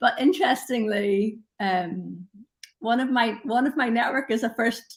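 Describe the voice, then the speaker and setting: With an Irish accent, a woman speaks in a high pitch with ordinary pitch variation. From Northern Ireland. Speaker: LinkedIn expert. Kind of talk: casual chat. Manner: animated.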